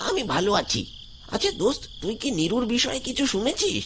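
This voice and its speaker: A man does a cartoonish character voice at an extremely high pitch, keeping a moderate pace and very even loudness. Clear background noise sits behind him. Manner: casual, familiar.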